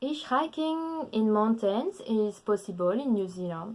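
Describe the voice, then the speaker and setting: A woman speaking with a French accent. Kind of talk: casual talk to camera.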